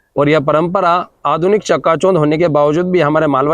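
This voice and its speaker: A man with a fairly high pitch and an unremarkable speaking voice talks at a moderate pace with fairly even intonation. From India, Malwa region, Madhya Pradesh. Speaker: local news reporter. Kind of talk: news report with interviews.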